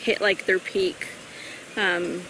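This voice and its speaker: A woman with a Pacific Northwest accent, fairly even intonation and a fairly slow pace, amid noticeable background noise. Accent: American (Pacific Northwest). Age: 20s. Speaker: patient with muscular dystrophy. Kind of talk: personal testimony interview. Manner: hesitant, many fillers.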